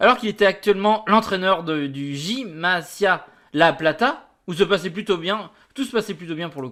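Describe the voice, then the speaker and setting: In a very clean recording with a silent background, a man speaks at a high pitch with lively intonation. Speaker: football youtuber. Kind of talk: reading an article aloud with comments. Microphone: new mic.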